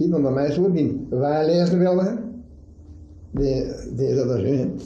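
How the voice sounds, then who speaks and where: A man talks at a fairly slow pace with a fairly high pitch and a dark, mellow, somewhat breathy tone. His loudness stays very even, with ordinary pitch variation. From Adegem, East Flanders, Belgium. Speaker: shoemaker. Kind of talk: dialect interview answer.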